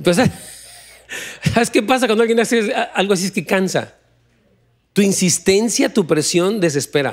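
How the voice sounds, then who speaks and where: A man speaks at a moderate pace, his pitch high and its variation ordinary. His loudness stays very even against a quiet background. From Mexico. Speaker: pastor; pastor preaching. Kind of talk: sermon. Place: church. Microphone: handheld.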